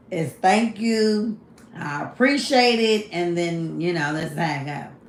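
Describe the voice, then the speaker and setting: The speech has lively intonation, with noticeable background noise and room echo that can be heard. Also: woman. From Kentucky, US South. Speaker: livestreamer. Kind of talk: casual livestream chat.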